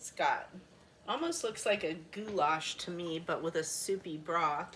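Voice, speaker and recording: A woman talks rather unhurriedly, her pitch moving in a typical way. Some clear noise can be heard behind her. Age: 60s. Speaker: cooking product consultant. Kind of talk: cooking demonstration chat. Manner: casual, hesitant with fillers.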